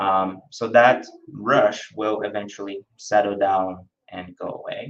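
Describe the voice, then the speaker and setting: A man with a Brazilian accent talks at a fairly low pitch. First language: Brazilian Portuguese. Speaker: spiritist lecturer. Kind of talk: lecture. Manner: hesitant, with frequent fillers.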